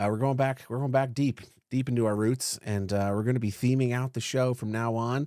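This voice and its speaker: Speaking at a fairly quick pace, a man has a medium pitch and a dark, mellow tone. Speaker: podcast host. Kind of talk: casual chat. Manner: loud; animated.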